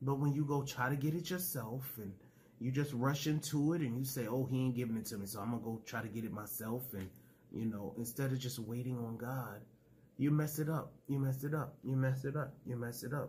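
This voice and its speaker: At a fairly quick pace, a man speaks in a somewhat breathy voice over light background noise. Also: ordinary pitch variation. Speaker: preacher and YouTube ministry host. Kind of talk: fervent prayer and preaching. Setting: home video recording for YouTube. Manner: fervent, emotional, call-and-response style, praise-filled; animated, exclamatory. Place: home room. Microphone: phone near.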